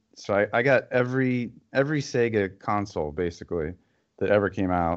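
A man's fairly low-pitched, normal speaking voice with ordinary pitch variation. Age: 40s. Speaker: YouTuber and gamer. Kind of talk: casual chat.

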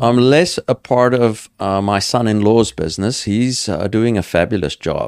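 A man with a South African accent speaks at medium pitch with ordinary pitch variation, keeping a moderate pace with hardly any pauses, on a very clean recording with a silent background. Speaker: entrepreneur and farmer. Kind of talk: casual interview.

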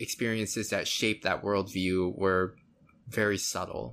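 A man has an ordinary speaking voice and a fairly low pitch, talking at a moderate pace. The recording is very clean, with a silent background. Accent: American. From US, Florida. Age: 30s. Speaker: podcast guest. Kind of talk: casual chat.

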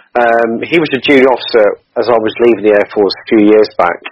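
A man's unremarkable speaking voice sits at a medium pitch with fairly even intonation. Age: 40s. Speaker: charity cyclist and Air Force veteran. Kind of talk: interview.

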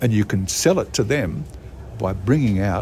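A man with an Australian accent and fairly low pitch, very wide pitch swings, a moderate pace, and noticeable background noise. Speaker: retired sports commentator. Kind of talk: interview.

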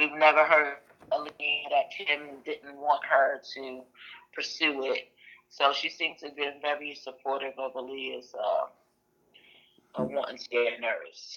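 Speaking in a Brooklyn accent, a woman goes at a fairly slow pace with long, frequent pauses and big swings in loudness. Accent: New York (Brooklyn). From Brooklyn, New York. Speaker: aunt of a missing woman. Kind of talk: interview.

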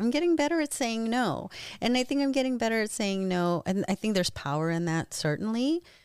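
In an American accent, the speaker goes at a fairly quick pace with very wide pitch swings, on a very clean recording with a silent background. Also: woman. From US Pacific Northwest, Eastern Washington. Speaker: actress and stage performer. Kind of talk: casual interview chat. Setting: studio.

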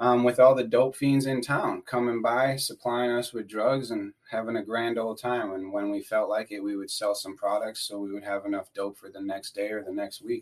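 In an unremarkable speaking voice, a man with an American accent talks at a moderate pace with hardly any pauses, medium pitch, fairly even intonation and big swings in loudness. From US Midwest, Wisconsin. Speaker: addiction recovery worker, former prisoner. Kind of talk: casual interview, personal recovery story. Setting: podcast recording.

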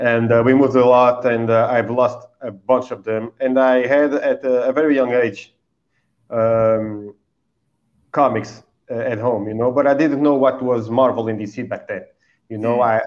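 At a fairly slow pace, a man talks in a medium pitch with monotone, flat intonation. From Portugal. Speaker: comic book creator. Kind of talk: casual interview. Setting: video call.

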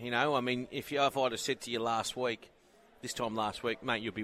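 With an Australian accent, a man speaks at a fairly quick pace and medium pitch in a bright, sharp tone. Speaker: radio host. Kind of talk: radio interview. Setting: live at sales venue with background noise. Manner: casual, friendly.

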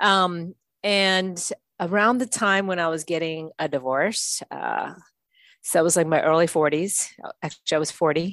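Against a quiet background, a woman talks in an ordinary speaking voice. Her pitch is fairly low, her pace moderate, and her pitch variation ordinary. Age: 50s. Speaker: strength coach. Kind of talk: casual chat.

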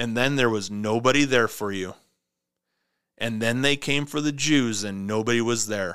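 Angry in tone, a man speaks at a moderate pace with a medium pitch and ordinary pitch variation. The recording is very clean, with a silent background. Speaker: prepper podcast host. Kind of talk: angry political rant, podcast monologue. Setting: home podcast studio. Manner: angry, ranting, urgent; emphatic, repetitive, preachy.

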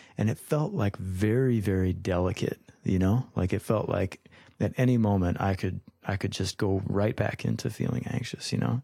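A man with an American accent talks at a moderate pace in a dark, mellow tone. His loudness stays very even, with ordinary pitch variation. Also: fairly low pitch for a man. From Minnesota. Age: 30s. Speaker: musician and business owner. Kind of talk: interview.

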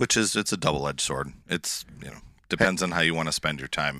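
A man puts on a character voice that is hoarse and very deep in pitch. He speaks at a fairly quick pace.

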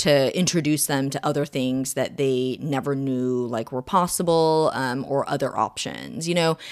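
An American-accented woman speaks with hardly any pauses at a moderate pace, her very deep, low voice showing ordinary pitch variation. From Oregon and Texas, US. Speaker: doctor. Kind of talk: casual interview.

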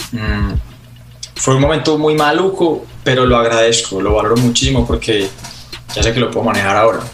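A man of medium pitch talks fairly quickly with lively intonation and very even loudness, yet leaves long, frequent pauses. Noticeable background noise and audible room echo are present. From Colombia, Medellín. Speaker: singer-songwriter. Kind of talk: interview conversation.

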